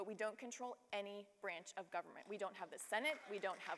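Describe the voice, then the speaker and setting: The woman talks at a very fast pace. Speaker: panelist. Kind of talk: panel discussion answer. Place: stage. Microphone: lapel.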